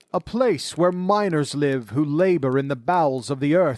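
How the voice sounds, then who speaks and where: Put-on character voice from a man, fairly high-pitched, moderately paced. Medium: read story.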